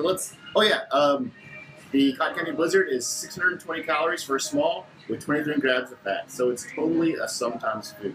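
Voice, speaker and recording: A man speaks with lively intonation at a fairly quick pace, his pitch fairly high. Music plays in the background. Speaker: food reviewer. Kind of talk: casual product review. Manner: animated.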